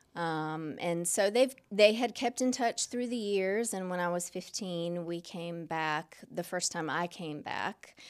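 A woman's ordinary speaking voice, fairly low in pitch, with an American accent, ordinary pitch variation, a fairly slow pace and hardly any pauses, in a very clean recording with a silent background. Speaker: churchgoer sharing her story. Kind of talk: interview testimony. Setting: pastor's office.

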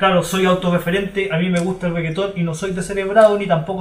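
A man with a Chilean accent talks fairly quickly at a high pitch in a monotone, flat intonation. Noticeable background noise and audible room echo are present. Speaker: podcast host. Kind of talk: casual chat; scripted narration.

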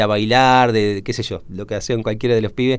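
This man talks at a medium pitch. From Argentina, Entre Ríos. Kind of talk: radio interview. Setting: radio studio. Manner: hesitant, many fillers.

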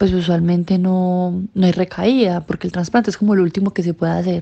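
Talking fairly quickly, a woman uses a dark, mellow tone. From Colombia, Sucre and Cúcuta. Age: 20s. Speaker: cancer survivor. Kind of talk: interview testimony.

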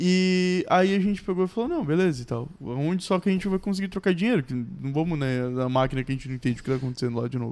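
A high-pitched man at a very fast pace, with lively intonation. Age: 20s. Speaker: podcast co-host. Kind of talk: casual chat.

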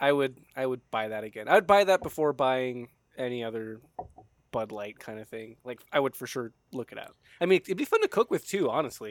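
A man with a normal speaking voice talks at a fairly quick pace and a medium pitch, with lively intonation and big swings in loudness. The sound is dry and close with no echo. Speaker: podcast host. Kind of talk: casual chat. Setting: outdoors on a patio.

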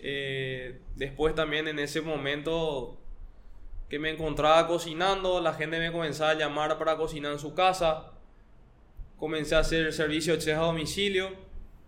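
A fairly high-pitched male voice, monotone and flat, at a moderate pace, with audible room echo. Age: 20s. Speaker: chef and startup founder. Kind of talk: interview.

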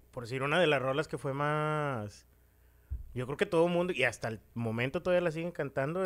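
A fairly high-pitched man's voice with a Mexican accent, at a fairly quick pace. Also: very clean recording, silent background. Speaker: podcast co-host. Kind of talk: casual chat.

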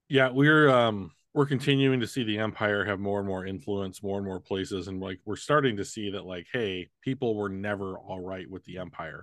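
Against a quiet background, a man speaks at a moderate pace with a fairly low pitch. He has a normal speaking voice and ordinary pitch variation. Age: 40s. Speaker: podcast host. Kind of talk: casual chat. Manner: bantering, teasing.

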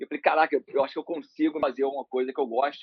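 This man's voice sits at a fairly high pitch. It varies in pitch in an ordinary way. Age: 40s. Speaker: managing director of a marketing agency. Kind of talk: casual interview.

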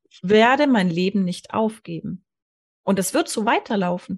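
At a fairly slow pace, a woman speaks with a somewhat breathy voice of medium pitch. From Allgäu, southern Germany. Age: 40s. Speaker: hypnosis coach. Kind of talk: interview storytelling.

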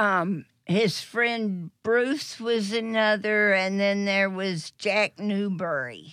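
A woman of medium pitch speaks very slowly with an American accent, ordinary pitch variation and hardly any pauses, on a very clean recording with a silent background. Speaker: radio show regular caller. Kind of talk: casual chat.

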